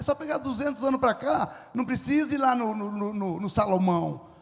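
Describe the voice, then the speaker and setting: A man's high voice, animated in tone, with ordinary pitch variation. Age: 70s. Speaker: farmer and entrepreneur. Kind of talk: lecture with audience Q&A.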